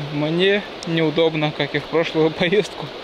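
Noticeable background noise runs through a dry recording with no echo. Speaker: vlogger filming a hike. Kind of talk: casual vlog chat. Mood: joking, relaxed. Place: forest. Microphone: phone near.

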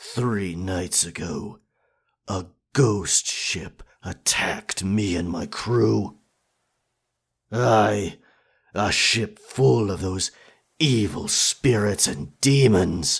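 In a put-on character voice, a man speaks very slowly with long, frequent pauses, his tone raspy and fairly low. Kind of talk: ASMR roleplay, pirate talk. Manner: determined, gruff, warm toward the listener.

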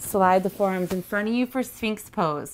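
In a normal speaking voice, a woman talks at a medium pitch. Her pace is fairly slow and her intonation fairly even. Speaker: yoga instructor. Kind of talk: guided yoga class, instructing through poses. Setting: home studio, online video.

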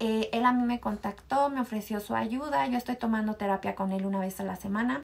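The delivery is fairly quick, with fairly even intonation. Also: woman.

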